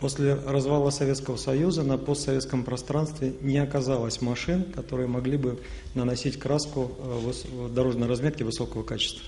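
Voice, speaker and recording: Talking at a very fast pace with hardly any pauses, a man with medium pitch keeps a monotone, flat intonation over noticeable background noise and audible room echo. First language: Russian. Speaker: company executive. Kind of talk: panel discussion.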